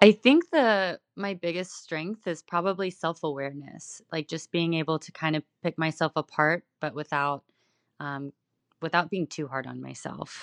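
A plain, everyday voice with an American accent, ordinary pitch variation, moderate pace and big swings in loudness, in a dry, close sound with no echo. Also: woman, fairly low pitch for a woman, quiet background. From Texas. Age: 20s. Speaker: fitness competitor and coach. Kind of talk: casual interview.

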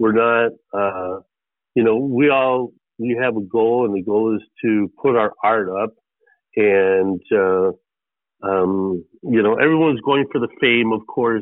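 The speaker has an American accent and ordinary pitch variation. The pace is fairly slow, with long, frequent pauses. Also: man, medium pitch for a man. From Chicago. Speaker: artist and real estate businessman. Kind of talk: interview. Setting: phone call. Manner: halting, many fillers.

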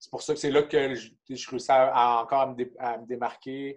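With a Quebec accent, a man speaks at medium pitch in a monotone, flat delivery at a fairly slow pace. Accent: Québécois French. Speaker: hockey player and kinesiologist. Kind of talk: casual interview.

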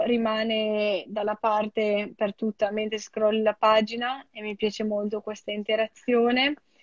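The sound is dry and close, with no echo. A woman with a fairly high pitch speaks very slowly. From Italy. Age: 20s. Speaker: product designer. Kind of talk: interview.

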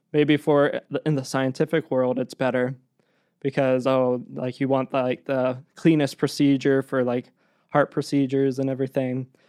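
A man speaks at a moderate pace with an American accent, medium pitch and monotone, flat intonation. The sound is dry and close with no echo, over a quiet background. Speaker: podcast producer. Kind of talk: casual chat.

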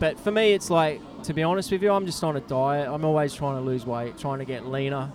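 A fairly high-pitched man at a moderate pace, with ordinary pitch variation and music in the background. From Australia. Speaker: bike courier and cyclist. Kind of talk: casual chat.

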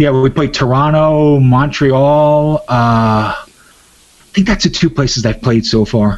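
Speaking at a fairly slow pace, a man with a normal speaking voice and a fairly high pitch keeps his loudness very even. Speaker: musician and record label owner. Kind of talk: casual interview chat. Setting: phone call interview for radio. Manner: relaxed, laid-back.

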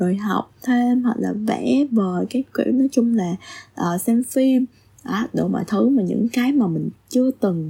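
A woman speaks at a fairly slow pace in a somewhat breathy, dark, mellow voice with a fairly high pitch and ordinary pitch variation. The sound is dry and close, with no echo. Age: 30s. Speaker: podcast admin. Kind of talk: solo podcast monologue. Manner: halting.

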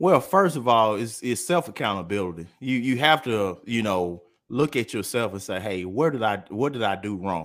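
Lively intonation marks this man's fairly low voice, and he hardly pauses at all. The recording is very clean with a silent background. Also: moderate pace. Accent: Mississippi. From US South, Columbus, Mississippi. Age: 30s. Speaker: businessman. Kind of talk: casual chat.

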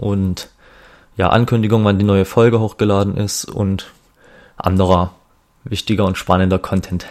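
A man talks in a fairly low pitch, keeping his intonation fairly even. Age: 20s. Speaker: podcast host. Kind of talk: solo podcast intro monologue. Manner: hesitant, many filler sounds.

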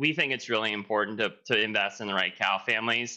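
Here is a man with an unremarkable speaking voice. It sits fairly low in pitch and moves at a fairly quick pace. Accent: American. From Pennsylvania. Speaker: dairy farmer and show cattle breeder. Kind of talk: webinar panel discussion.

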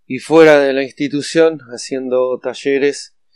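Fairly even intonation and fairly slow delivery from a man. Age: 40s. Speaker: addiction counselor. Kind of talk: podcast monologue. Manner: halting, frequent fillers.

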